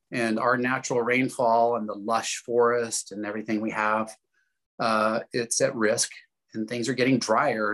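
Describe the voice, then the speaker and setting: A man with a West Coast accent speaks in a bright, sharp tone with monotone, flat intonation. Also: quiet background. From US Pacific Northwest. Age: 50s. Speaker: farmer and former tobacco user; interview guest. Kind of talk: interview testimony. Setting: video call. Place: home room. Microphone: video call.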